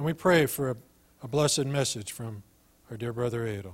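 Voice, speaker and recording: The man's voice sits at a medium pitch, moving at a moderate pace with ordinary pitch variation. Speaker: church member leading prayer. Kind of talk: prayer. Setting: church.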